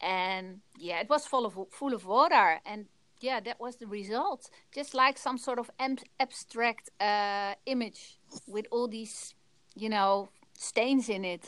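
Speaking at a very slow pace with a Dutch accent, a woman shows ordinary pitch variation and big swings in loudness, on a very clean recording with a silent background. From Netherlands. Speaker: photographer. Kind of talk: interview.

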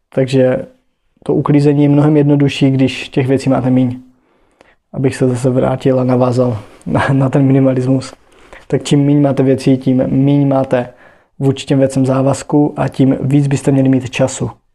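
Delivered at a moderate pace, the man's dark, mellow voice stays monotone and flat in intonation, with very even loudness. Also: medium pitch for a man. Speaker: podcaster. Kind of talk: casual monologue. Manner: halting.

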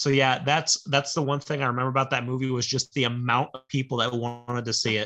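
The man's bright, sharp tone stays monotone and flat at a very fast pace. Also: medium pitch for a man, hardly any pauses. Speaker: podcast co-host. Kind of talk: casual chat.

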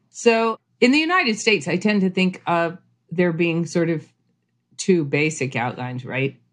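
In a normal speaking voice, a woman talks at a moderate pace with a fairly low pitch. Her intonation is lively, and the background is quiet. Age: 50s. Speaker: homesteader and author. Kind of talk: casual interview.

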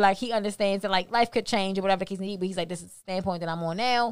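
Speaking very fast, a woman uses an animated tone at a medium pitch with ordinary pitch variation. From Baltimore, Maryland, US. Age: 20s. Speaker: podcast host. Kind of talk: casual interview chat.

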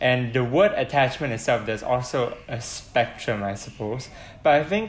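Noticeable background noise sits under this clip. A man at medium pitch speaks at a moderate pace. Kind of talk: casual chat.

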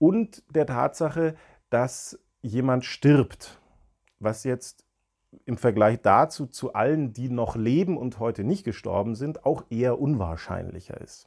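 A man at a very slow pace with lively intonation, in a very clean recording with a silent background. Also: medium pitch for a man. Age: 40s. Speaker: psychologist, podcast co-host. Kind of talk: casual explanatory chat.

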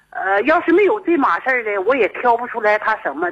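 With very wide pitch swings, a woman talks fairly quickly in a high pitch. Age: 50s. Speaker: radio call-in listener. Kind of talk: phone-in confiding personal problem. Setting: phone call.

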